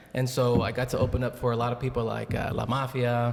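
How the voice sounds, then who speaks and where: With an American accent, a man talks at a moderate pace amid noticeable background noise and audible room echo. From Texas, rural area near Richmond and Rosenberg. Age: 40s. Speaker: pastor. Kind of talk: casual chat. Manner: animated.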